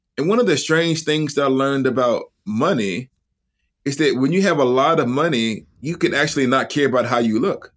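With an American accent, a man speaks fairly quickly at a fairly high pitch, with ordinary pitch variation and very even loudness. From US South, Huntsville, Alabama. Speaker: seminary professor and author. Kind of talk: casual interview chat.

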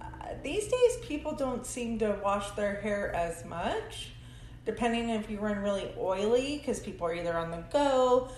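A woman at a moderate pace, with audible room echo and music in the background. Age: 40s. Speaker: hairstylist. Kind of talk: casual chat.

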